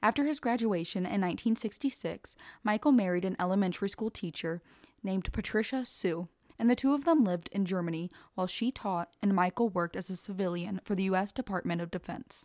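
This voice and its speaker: Very fast and at a medium pitch with ordinary variation, a woman talks in a dry, close recording with no echo and a silent background. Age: 20s. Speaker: true crime podcast co-host. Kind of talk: scripted narration with casual chat.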